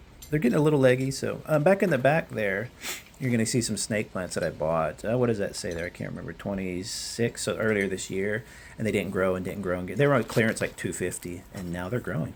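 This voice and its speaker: Lively intonation marks this man's fairly low voice. He talks at a very fast pace. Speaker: gardening vlogger. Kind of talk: casual garden tour. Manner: hesitant, many fillers.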